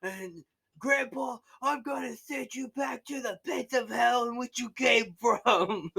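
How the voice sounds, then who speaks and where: A put-on character voice, fairly high in pitch, at a fairly slow pace. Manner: fiery, threatening, preacher-like.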